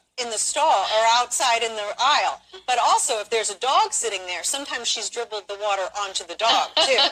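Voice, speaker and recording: Over noticeable background noise, a speaker with an American accent talks fairly quickly with lively intonation and hardly any pauses. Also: woman, fairly high pitch for a woman. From Pennsylvania. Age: 40s. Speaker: horse owner. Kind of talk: interview.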